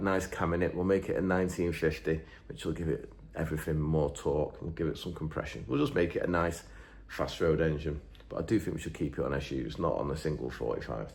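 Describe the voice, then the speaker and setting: In a room with audible echo, a man with a very deep, low pitch and vocal fry talks at a fairly quick pace with lively intonation. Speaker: engine builder and YouTuber. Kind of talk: casual chat, reading out viewer comments. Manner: rambling, hesitant with fillers.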